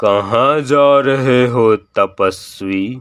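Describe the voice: Putting on a cartoonish character voice, a man speaks at a medium pitch.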